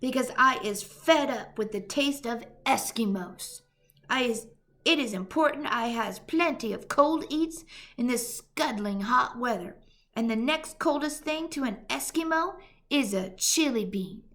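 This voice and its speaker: A woman uses a put-on character voice pitched high. She talks at a moderate pace. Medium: read story. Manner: loud, roaring, coarse; mangled giant grammar and invented words.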